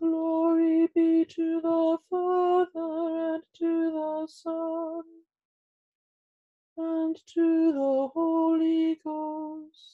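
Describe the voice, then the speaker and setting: A woman speaks very slowly in an extremely high pitch with a dark, mellow tone. Her intonation is monotone and flat, and the background is quiet. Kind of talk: liturgical reading. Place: home room. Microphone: webcam.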